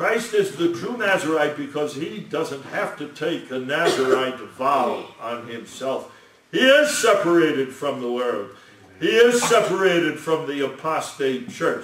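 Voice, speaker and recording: Over light background noise and audible room echo, a man speaks at a fairly slow pace. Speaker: lecturer on scripture. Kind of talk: sermon.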